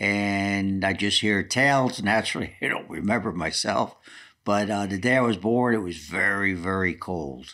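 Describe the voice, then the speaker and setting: A bright, sharp tone comes through with a New Jersey accent at a moderate pace. The recording is very clean, with a silent background. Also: man, fairly low pitch for a man, ordinary pitch variation. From New Jersey, Newark. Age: 80s+. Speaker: retired football coach. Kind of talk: autobiographical interview.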